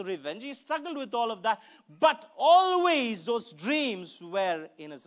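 A man at a fairly slow pace, with big pitch swings.

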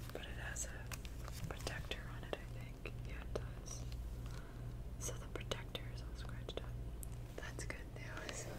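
The soft-spoken delivery moves at a fairly slow pace, broken by long, frequent pauses. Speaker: collection show-and-tell host. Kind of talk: casual show-and-tell chat. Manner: soft-spoken, hushed ASMR voice.

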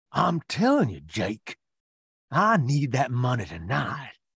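A man puts on a raspy character voice at a medium pitch, with very wide pitch swings. He talks at a fairly slow pace.

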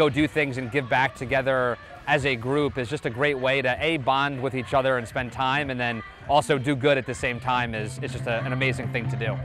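A man talks at a fairly quick pace in a flat monotone. The sound is dry with no echo, and clear music plays in the background. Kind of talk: interview answer. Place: stadium. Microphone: lapel.

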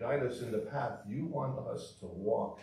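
A man talks at a fairly slow pace. Audible echo fills the room. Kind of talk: prayer and scripture reading. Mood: solemn, calm. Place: church.

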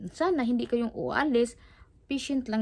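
The speaker is female. She goes neither fast nor slow. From Philippines, Cebu; Philippines. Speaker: vlogger. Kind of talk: casual vlog chat. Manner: halting, repetitive. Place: home room.

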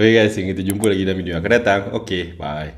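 The man's pitch is very deep and low. He rattles through his words very fast. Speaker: food reviewer vlogger. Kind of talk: casual vlog chat, outro. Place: home room.

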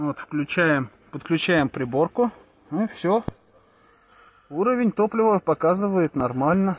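Recorded with a dry, close sound and no echo, a man with a high pitch and lively intonation speaks at a very slow pace, leaving long, frequent pauses. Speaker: car repair mechanic. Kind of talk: repair tutorial. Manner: casual, thinking aloud.

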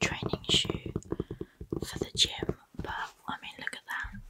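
Loud background noise runs under a woman's voice. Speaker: ASMR creator. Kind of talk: soft-spoken ASMR product show and tell. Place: home room. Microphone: studio mic.

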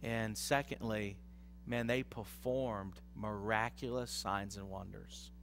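With music in the background, a man talks fairly slowly in an animated tone. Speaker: pastor. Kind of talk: sermon. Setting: church. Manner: animated, conversational preacher, teaching with audience call-and-response. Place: church. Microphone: headset.

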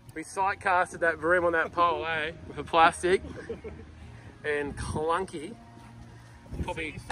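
A man speaks at a fairly slow pace in a high, monotone voice with flat intonation. The sound is dry with no echo, over light background noise. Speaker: fishing charter guide. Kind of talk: casual commentary. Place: boat. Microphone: phone near.

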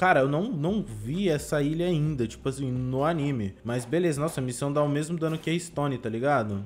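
A man speaks over light background noise. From Brazil. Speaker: gaming YouTuber. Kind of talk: gameplay commentary. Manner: animated. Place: home room. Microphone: headset.

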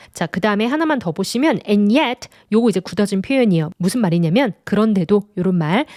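An ordinary speaking voice from a woman at medium pitch, fairly quick, with lively intonation and a dry, close sound with no echo. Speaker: English teacher. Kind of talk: lecture.

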